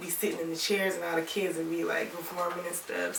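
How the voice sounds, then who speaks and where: A woman with an American accent has a fairly low pitch. There is audible room echo plus noticeable background noise. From Toledo, Ohio (born Alabama, ties to Tennessee). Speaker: rapper. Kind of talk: interview. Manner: casual, many fillers.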